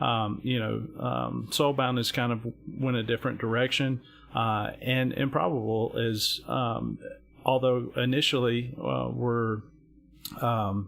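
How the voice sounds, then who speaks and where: The speaker has an Alabama accent, a fairly slow pace and fairly even intonation. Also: man, medium pitch for a man. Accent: Southern US (Alabama). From US South, Alabama. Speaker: gaming stream panelist. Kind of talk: live stream panel discussion. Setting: live stream. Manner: halting, many fillers and repetitions.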